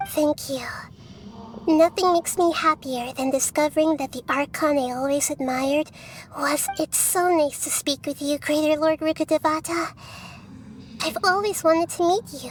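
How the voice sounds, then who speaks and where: Clear background noise accompanies a put-on, female-sounding character voice with a high pitch, a gentle tone and a moderate pace. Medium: video game. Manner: earnest, gentle.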